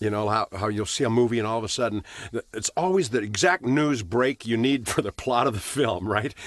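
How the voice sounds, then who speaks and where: A man with an American accent speaks at a medium pitch in an unremarkable speaking voice, with ordinary pitch variation and a dry, close sound with no echo. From Los Angeles, California. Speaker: actor. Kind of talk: casual chat, film commentary. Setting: studio. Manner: chatty, laughs often.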